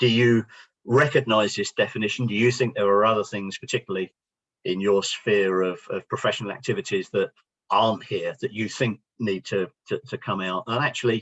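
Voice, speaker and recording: A man talks at a fairly quick pace with medium pitch. His intonation is fairly even. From London. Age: 60s. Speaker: business founder and speaker. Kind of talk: workshop presentation.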